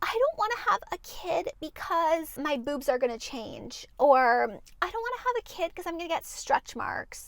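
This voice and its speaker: A put-on, female-sounding character voice, whiny in tone, at an extremely high pitch with very wide pitch swings, hardly any pauses and a moderate pace. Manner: mocking, whiny.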